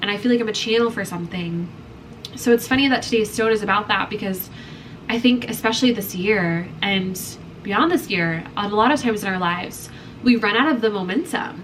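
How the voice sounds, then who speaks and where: Noticeable background noise surrounds a woman speaking in an American accent at a fairly quick pace. Her pitch is fairly high, with ordinary pitch variation. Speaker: lifestyle vlogger. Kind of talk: casual vlog talk to camera. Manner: animated.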